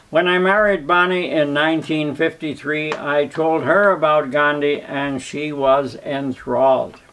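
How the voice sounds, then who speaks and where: A man with a fairly high pitch speaks at a fairly slow pace with hardly any pauses. His intonation is fairly even, and there is noticeable background noise. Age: 90s. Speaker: charity founder. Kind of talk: prepared speech.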